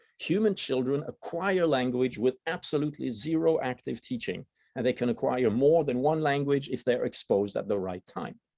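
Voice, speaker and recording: With hardly any pauses, the speaker uses lively intonation and a dark, mellow tone in a Swiss German accent, recorded with a dry, close sound and no echo. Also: man, medium pitch for a man, moderate pace. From German-speaking Switzerland. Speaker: biology researcher. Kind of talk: lecture. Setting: university seminar room with audience.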